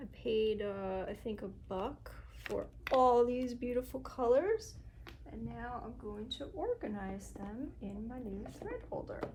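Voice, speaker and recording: Soft-spoken woman at a very slow pace, with big swings in loudness and noticeable background noise. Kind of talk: casual soft-spoken talk to camera, thinking aloud while crafting. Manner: soft-spoken, unhurried, muttering to self.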